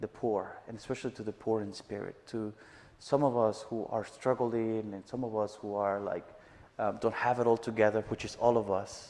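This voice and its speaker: A man with a Mexican accent speaks at a moderate pace. His intonation is monotone and flat. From Mexico, Chihuahua. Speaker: missionary. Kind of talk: testimony. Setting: church service with live audience.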